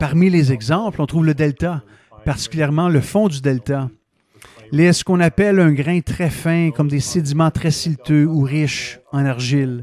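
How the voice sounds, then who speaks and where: With a dark, mellow tone and a fairly high pitch, a man speaks at a fairly slow pace with ordinary pitch variation, the sound dry with no echo. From Canada. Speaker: professor and planetary geologist; professor. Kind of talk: interview. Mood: calm, enthusiastic explaining. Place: office. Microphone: headset.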